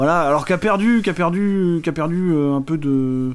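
Ordinary pitch variation in a male voice pitched fairly high. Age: 30s. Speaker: film podcast co-host. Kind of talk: casual chat. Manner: halting.

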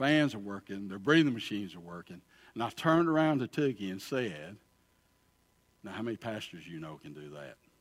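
With an Alabama accent, a man talks at a fairly quick pace in a fairly low voice, his pitch swinging very widely and his loudness rising and falling sharply, on a very clean recording with a silent background. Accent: Southern US (Alabama). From US South, Alabama. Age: 60s. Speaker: pastor. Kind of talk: sermon. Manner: animated.

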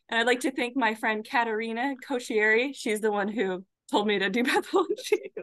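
Here is a woman with a plain, everyday voice and a fairly high pitch. She talks at a fairly quick pace with ordinary pitch variation. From Arizona. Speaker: pathology resident. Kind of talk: interview.

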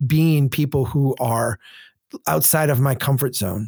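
Speaking in an Upper Midwest accent, a man uses a fairly high pitch, a somewhat breathy voice and lively intonation. He talks at a very slow pace on a very clean recording with a silent background. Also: dry, close sound with no echo. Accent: Upper Midwest American. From central Minnesota. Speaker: urban planning advocate and former engineer. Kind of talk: interview conversation.

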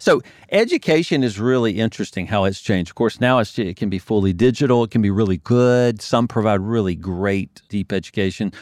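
A man's fairly low voice at a fairly quick pace, with ordinary pitch variation and a dry, close sound with no echo. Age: 50s. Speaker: accounting firm owner and business coach. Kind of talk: casual interview.

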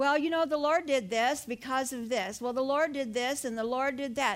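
Raised and projected, a woman's voice carries a bright, sharp tone at a moderate pace. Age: 70s. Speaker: pastor. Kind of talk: sermon. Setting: church.

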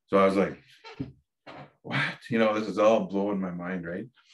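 A man speaks with an Ontario accent in a fairly low pitch. His intonation is monotone and flat. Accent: Canadian (Ontario). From Ontario, Canada (Dokis First Nation). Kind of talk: interview conversation.

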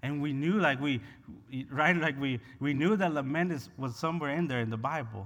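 Audible room echo surrounds a man with a Spanish accent and a fairly high pitch. He speaks at a fairly quick pace in an animated tone. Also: ordinary pitch variation. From Honduras. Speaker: pastor. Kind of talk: sermon.

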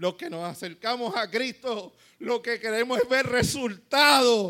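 A man's animated voice, bright and sharp in tone, with very wide pitch swings. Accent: Puerto Rican. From Puerto Rico. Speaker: pastor. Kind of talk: sermon, preacher in full flow, rallying a live congregation with call-and-response. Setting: church with live congregation. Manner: animated, fervent, exhortative; conversational, colloquial, humorous asides.

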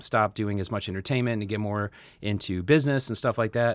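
Delivered at a fairly quick pace with fairly even intonation, a plain, everyday voice comes through on a very clean recording with a silent background. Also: man. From US Midwest, Chicago. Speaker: podcast host. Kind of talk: interview.

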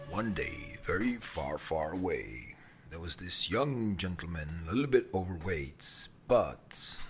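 A put-on character voice speaks at a fairly slow pace. Background noise is clearly audible. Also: man. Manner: weird, exaggerated.

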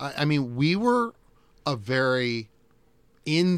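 Here a man speaks with a US Midwestern accent. His intonation is lively. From Iowa, Davenport (US Midwest). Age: 50s. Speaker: college radio station operations manager. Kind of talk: interview. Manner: halting, frequent fillers and repeats.

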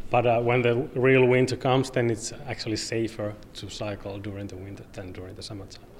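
With a Finnish accent and a medium pitch, a man talks at a fairly quick pace with hardly any pauses, his loudness swinging widely while his intonation stays fairly even over noticeable background noise. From Finland, Oulu. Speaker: cycling advocate. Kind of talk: interview. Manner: halting.

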